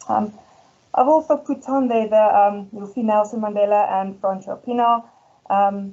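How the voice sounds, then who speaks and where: Her voice sits at a fairly high pitch with ordinary pitch variation. The woman keeps a moderate pace. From South Africa, Ermelo (Afrikaans community). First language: Afrikaans. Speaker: school head teacher. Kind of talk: presentation. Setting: presentation event. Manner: hesitant, many fillers.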